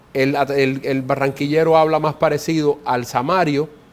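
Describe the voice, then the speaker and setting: A man with a Caribbean Colombian accent speaks at a moderate pace and a fairly high pitch, his intonation fairly even. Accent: Colombian Caribbean coastal. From Colombia, Caribbean coast (Córdoba). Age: 40s. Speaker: ambassador. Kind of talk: interview. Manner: halting, frequent repetitions.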